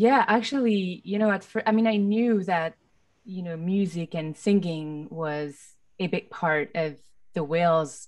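With a French accent, the speaker talks at a fairly slow pace with ordinary pitch variation over a quiet background. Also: woman. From France. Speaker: film composer. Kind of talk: panel discussion. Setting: video call. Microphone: studio mic.

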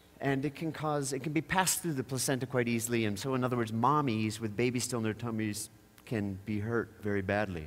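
His pitch shows ordinary variation. The man's speech comes at a very fast pace. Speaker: conference speaker. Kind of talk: public talk with humor. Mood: wry, storytelling. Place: stage. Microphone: headset.

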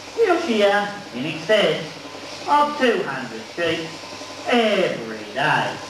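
A man's high-pitched voice with a strong Australian accent, very wide pitch swings and a very slow pace full of long, frequent pauses, amid noticeable background noise and audible room echo. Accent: broad Australian. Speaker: stockman and theme park show presenter; presenter. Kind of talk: live show presentation. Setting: stage with audience.

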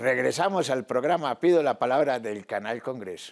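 The background is quiet. A man does the talking. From Colombia. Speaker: TV show host. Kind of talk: interview show. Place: studio. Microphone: lapel.

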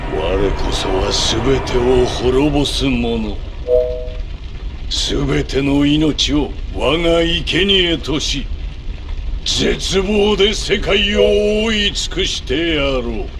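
Using a put-on character voice, a man speaks at a very slow pace against clear background noise.

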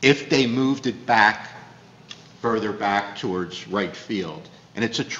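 Pitch varies in an ordinary way at a moderate pace. Light background noise and audible room echo are present. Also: man. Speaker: borough official; council member. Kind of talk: council meeting discussion. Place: hall. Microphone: podium.

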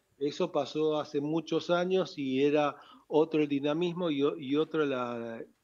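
A man talks at a fairly slow pace with fairly even intonation. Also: fairly high pitch for a man. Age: 60s. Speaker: club founder and shopkeeper. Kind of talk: radio interview. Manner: halting. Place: studio. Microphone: studio mic.

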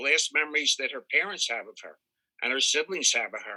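In an American accent, a man speaks at a fairly quick pace with a dry, close sound and no echo. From Pennsylvania. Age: 60s. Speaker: victim's friend giving statement. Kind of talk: victim impact statement. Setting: video call.

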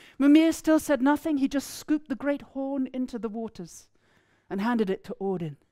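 In a southern English accent, a woman speaks at a moderate pace over a quiet background, her high-pitched voice dark and mellow in tone. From East Anglia, England. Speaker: storyteller. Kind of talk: storytelling performance. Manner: animated. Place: hall. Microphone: headset.

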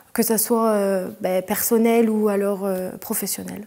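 A woman speaks with a dark, mellow tone and monotone, flat intonation. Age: 20s. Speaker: after-school activity leader. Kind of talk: interview. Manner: halting, many fillers. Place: classroom.

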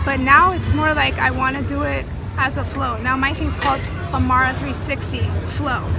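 Clear music runs behind a woman speaking at a moderate pace. The sound is dry, with no echo. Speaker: interview guest. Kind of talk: interview answer. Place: street. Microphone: phone near.

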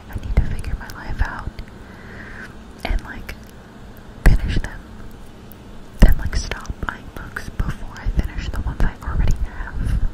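A woman whispering, with long, frequent pauses. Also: fairly slow pace. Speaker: ASMR creator. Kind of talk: casual talk to camera. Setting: close microphone ASMR recording. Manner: whispered, soft-spoken, rambling. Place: home room. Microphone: studio mic.

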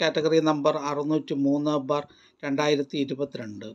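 A man's fairly high pitch carries through speech at a moderate pace.

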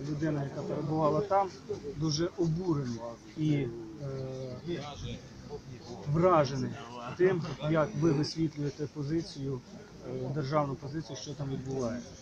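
Noticeable background noise runs behind a man speaking at a moderate pace. His pitch is fairly high, with ordinary pitch variation. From Ukraine. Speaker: volunteer fighter. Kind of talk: question to an official at a briefing.

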